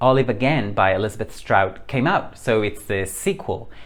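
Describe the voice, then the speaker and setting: A man speaks with a Spanish accent. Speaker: book reviewer. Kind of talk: casual chat. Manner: animated.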